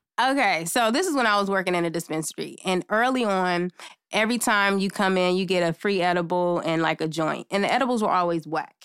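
A woman with an American accent speaks at a fairly quick pace in a plain, everyday voice, medium in pitch with ordinary pitch variation. Her loudness stays very even, and the recording is very clean with a silent background. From Los Angeles. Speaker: makeup artist guest. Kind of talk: casual chat.

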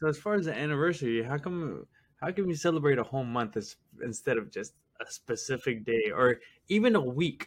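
Speaking at a fairly quick pace, a man with a plain, everyday voice sounds fairly high in pitch, with lively intonation. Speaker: co-host or friend. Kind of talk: casual chat.

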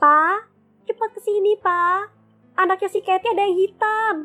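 A put-on character voice speaks at a moderate pace with very even loudness and fairly even intonation. The sound is dry and close with no echo, with faint music in the background. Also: woman, extremely high pitch for a woman.

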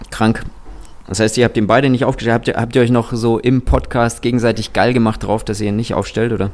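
The pace is very fast. The intonation stays monotone and flat. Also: man, medium pitch for a man. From Kazakhstan. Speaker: app co-founder. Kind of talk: casual chat. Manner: halting, repeats words.

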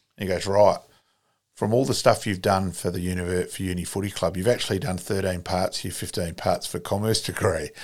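With a South Australian accent, a man speaks at a fairly quick pace in a very deep, low pitch, his intonation fairly even and the recording very clean with a silent background. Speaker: sports club volunteer and author. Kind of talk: casual interview storytelling. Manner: chatty, storytelling.

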